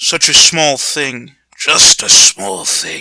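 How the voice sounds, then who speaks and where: A raspy, put-on character voice from a man at a very slow pace. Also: fairly high pitch for a man. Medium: read story. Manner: measured, wise.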